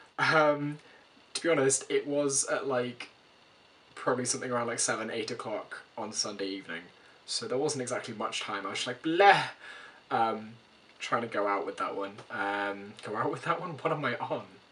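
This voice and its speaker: Against noticeable background noise, a man talks at a moderate pace and medium pitch with lively intonation. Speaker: vlogger. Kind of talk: casual vlog.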